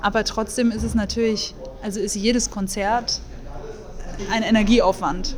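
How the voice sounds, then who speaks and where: Here a woman talks at a moderate pace. Audible room echo and noticeable background noise fill the recording. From Munich, Bavaria. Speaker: jazz singer and composer. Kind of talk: casual interview.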